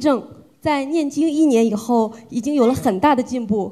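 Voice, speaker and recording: Lively intonation marks a woman's high-pitched voice. She speaks at a moderate pace. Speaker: event emcee. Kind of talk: formal announcement.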